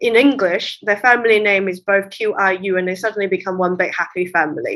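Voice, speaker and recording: Speaking fairly quickly with a Cantonese accent, a woman uses a medium pitch and ordinary pitch variation. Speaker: literary translator. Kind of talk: interview conversation.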